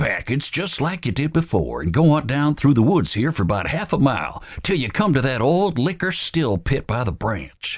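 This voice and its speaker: A man talks at a moderate pace. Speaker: voice actor. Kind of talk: audiobook narration.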